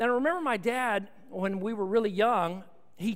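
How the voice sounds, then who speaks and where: Audible room echo surrounds a man who speaks with a high pitch and lively intonation. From Texas, Austin. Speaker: pastor. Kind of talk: sermon.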